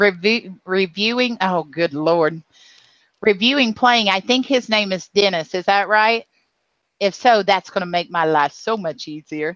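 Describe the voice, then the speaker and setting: A woman's medium-pitched voice in a Southern US accent, at a fairly slow pace with ordinary pitch variation, dry and close with no echo. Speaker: live stream host. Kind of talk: casual chat. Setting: live video hangout.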